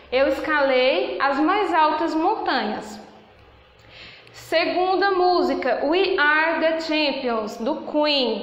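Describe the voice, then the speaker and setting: Speaking at a very slow pace, a woman with a high pitch and lively intonation keeps her loudness very even over noticeable background noise. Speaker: English teacher. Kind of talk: lecture.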